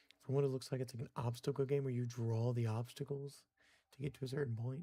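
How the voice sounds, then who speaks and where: The voice is somewhat breathy, with a dark, mellow tone and monotone, flat intonation. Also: man. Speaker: live streamer, gamer. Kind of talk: casual gaming live stream commentary. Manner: quiet at times; casual, conversational.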